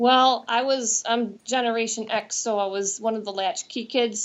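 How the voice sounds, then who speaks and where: With an American accent, a woman speaks at a moderate pace in a monotone, flat intonation. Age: 40s. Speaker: nurse. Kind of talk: interview.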